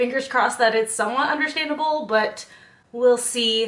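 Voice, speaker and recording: A woman's fairly high voice at a fairly quick pace amid noticeable background noise. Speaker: beauty and lifestyle content creator. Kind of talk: casual talk to camera.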